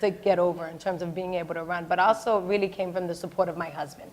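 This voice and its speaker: In an American accent, a woman talks at a very fast pace. Her pitch sits fairly low. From Boston, Dorchester. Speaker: state senator. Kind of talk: panel discussion. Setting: stage with audience. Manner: loud; animated.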